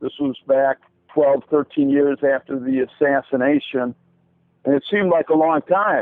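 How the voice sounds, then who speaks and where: At a moderate pace, a man with an American accent talks in a fairly high pitch with fairly even intonation. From US Midwest, Chicago area. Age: 60s. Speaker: interviewee, assassination researcher. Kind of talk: interview.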